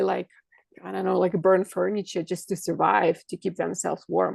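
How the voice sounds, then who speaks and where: Spoken with a Russian accent, the voice has a dry, close sound with no echo. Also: woman. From Kazakhstan and Russia. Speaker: holistic coach and medical intuitive. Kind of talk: podcast interview.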